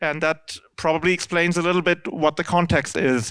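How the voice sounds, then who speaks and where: A man's high voice with a German accent in a very clean recording, silent background. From Germany. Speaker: C++ standards committee member. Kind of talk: lecture. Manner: halting.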